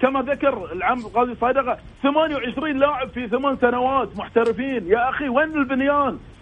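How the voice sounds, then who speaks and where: At a moderate pace, a man speaks with an extremely high pitch and ordinary pitch variation over noticeable background noise. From Bahrain. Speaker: sports broadcaster and pundit. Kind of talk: casual sports discussion.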